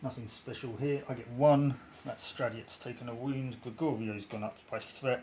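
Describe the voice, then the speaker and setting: A man speaks at a moderate pace with a medium pitch. His voice is somewhat breathy and his intonation monotone and flat. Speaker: tabletop game player. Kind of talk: casual game playthrough narration.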